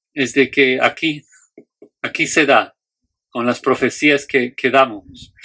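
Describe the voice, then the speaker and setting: A man with a non-native accent at a very slow pace. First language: not Spanish (speaking Spanish). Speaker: Bible teacher. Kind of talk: lecture. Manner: halting, with fillers and restarts.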